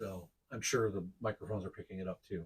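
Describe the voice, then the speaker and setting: A quiet, somewhat breathy male voice. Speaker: podcast co-host. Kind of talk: casual chat.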